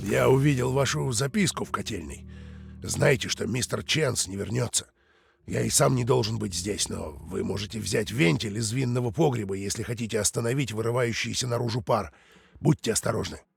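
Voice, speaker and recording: A man's put-on character voice, raspy and medium in pitch, with lively intonation at a fairly quick pace. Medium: video game.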